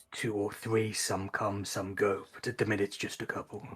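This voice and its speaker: A man uses a put-on character voice that is raspy and fairly low. He speaks at a moderate pace. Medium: actual play. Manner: halting, weary.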